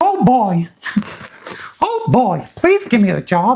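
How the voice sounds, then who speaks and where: Someone does a put-on character voice at a fairly high pitch, swinging very widely up and down at a fairly slow pace. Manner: cheerful, eager.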